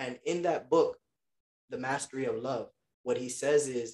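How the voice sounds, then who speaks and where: Heard dry and close with no echo, the voice moves at a fairly slow pace with fairly even intonation. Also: man. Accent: New York. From Queens, New York. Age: 20s. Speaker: federal government worker and military veteran. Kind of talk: casual chat.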